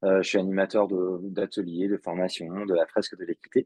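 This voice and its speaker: A man's fairly low voice at a fairly quick pace. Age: 40s. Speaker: public speaker and facilitator on equality. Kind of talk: podcast interview. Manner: hesitant, many fillers.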